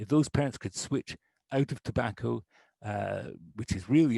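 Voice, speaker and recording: A man talks at a moderate pace with vocal fry and ordinary pitch variation, the sound dry and close with no echo over a quiet background. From Canada. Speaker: public health official. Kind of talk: presentation. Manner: animated.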